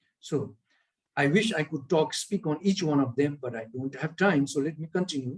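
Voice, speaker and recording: Somewhat breathy and fairly high, a man's voice moves at a moderate pace with ordinary pitch variation. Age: 60s. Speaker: speaker on well-being. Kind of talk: online lecture.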